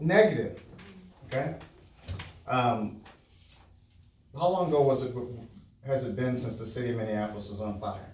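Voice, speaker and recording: Speaking in an American accent at a medium pitch, a man talks at a moderate pace with ordinary pitch variation and long, frequent pauses, amid noticeable background noise and audible room echo. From Milwaukee, Wisconsin, US Midwest. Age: 60s. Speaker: business owner and motivational speaker. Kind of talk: motivational talk to a live audience. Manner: conversational, engages audience with questions.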